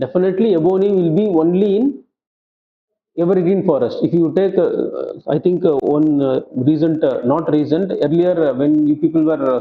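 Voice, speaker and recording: A man speaks at a high pitch with ordinary pitch variation. His loudness stays very even. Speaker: exam coaching teacher. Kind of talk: lecture. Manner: halting.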